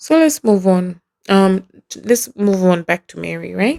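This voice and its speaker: Speaking with a non-native accent at a fairly slow pace, this voice has an animated tone and lively intonation, captured with a dry, close sound and no echo. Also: woman. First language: not English. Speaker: podcast host. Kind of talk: casual solo podcast commentary.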